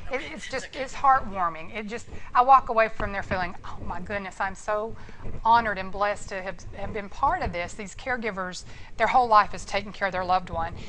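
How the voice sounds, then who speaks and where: Amid audible room echo, a woman talks at a fairly quick pace in a medium pitch with ordinary pitch variation. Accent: American. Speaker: nursing instructor and hospice nurse. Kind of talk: lecture. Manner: fast; animated.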